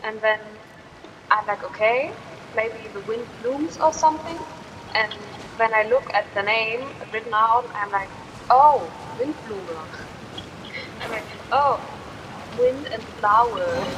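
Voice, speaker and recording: Amid noticeable background noise, a woman with a German accent speaks at a fairly slow pace in a fairly high pitch, with ordinary pitch variation and long, frequent pauses. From Germany. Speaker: gaming streamer. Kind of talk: casual gameplay commentary. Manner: halting.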